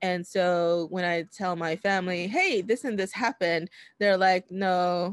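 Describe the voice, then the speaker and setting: Speaking at a fairly slow pace with an American accent, a woman uses an unremarkable speaking voice, fairly low in pitch with ordinary pitch variation, in a dry, close sound with no echo on a very clean recording with a silent background. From New York City, Washington Heights. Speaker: podcast host. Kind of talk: casual chat.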